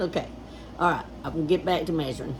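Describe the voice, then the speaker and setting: A woman with a Southern US accent speaks at a fairly low pitch with fairly even intonation. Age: old. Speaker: DIY homestead vlogger. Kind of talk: casual DIY vlog. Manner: casual, halting.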